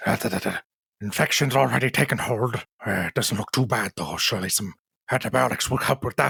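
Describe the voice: Using a put-on character voice with lively intonation, a man talks at a fairly quick pace and medium pitch in a dry, close sound with no echo.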